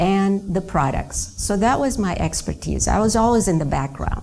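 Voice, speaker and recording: Vocal fry and ordinary pitch variation in a woman's speech. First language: not English; another native language. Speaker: network marketing trainer. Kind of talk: business training talk.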